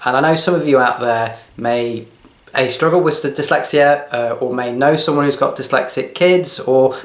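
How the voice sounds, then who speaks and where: A man speaks with fairly even intonation, with audible room echo and noticeable background noise. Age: 40s. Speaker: video blogger, training consultant and health coach. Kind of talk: personal talk to camera. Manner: hesitant, with fillers.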